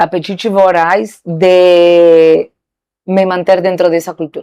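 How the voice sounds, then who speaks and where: A woman with a Spanish accent speaks very slowly at a fairly low pitch in a monotone, flat intonation. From Argentina. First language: Spanish (speaking Portuguese). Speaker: saleswoman. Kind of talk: interview.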